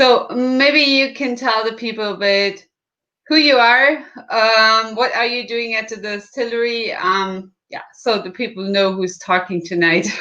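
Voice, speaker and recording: This woman has a German accent and a fairly high pitch with ordinary variation. Her tone is bright and sharp, and she speaks at a fairly slow pace. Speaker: livestream host. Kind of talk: livestream interview.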